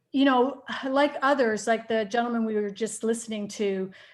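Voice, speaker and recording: Speaking at a moderate pace, a woman with a slight Canadian accent uses a fairly high pitch and fairly even intonation. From Canada. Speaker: nutritionist and IT worker. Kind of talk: casual chat. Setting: video call. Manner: halting, many fillers.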